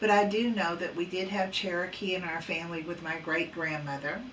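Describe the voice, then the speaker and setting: A woman with a fairly low voice speaks with fairly even intonation, with audible room echo and noticeable background noise. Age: 60s. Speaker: psychic paranormal researcher. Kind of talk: casual vlog monologue. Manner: hesitant, many fillers.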